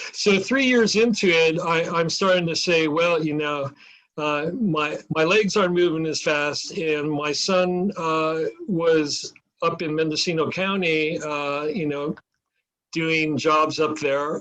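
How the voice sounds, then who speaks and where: A man speaks at a very slow pace. His voice is fairly high, with ordinary pitch variation. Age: 70s. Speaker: mold inspection business owner. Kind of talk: interview.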